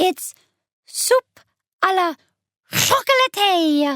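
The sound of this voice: A woman's put-on character voice in a French accent, extremely high with very wide pitch swings, dry and close with no echo.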